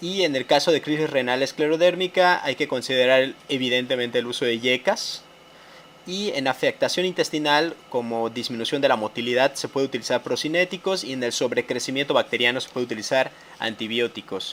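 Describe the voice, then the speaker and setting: Here a man with a medium pitch talks at a fairly quick pace, showing ordinary pitch variation. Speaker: medical educator. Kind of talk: lecture. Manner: fast; halting.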